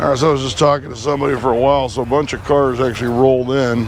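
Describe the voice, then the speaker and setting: Medium-pitched male voice with fairly even intonation, audible room echo and noticeable background noise. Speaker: car show videographer. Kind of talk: walkaround commentary. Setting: outdoors at car show.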